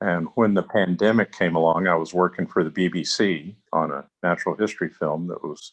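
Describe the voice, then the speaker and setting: With an Alaskan accent, a man speaks at a very deep, low pitch in a dry, close sound with no echo and a quiet background. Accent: American, Alaska. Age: 60s. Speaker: writer and filmmaker. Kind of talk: life story interview. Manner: halting.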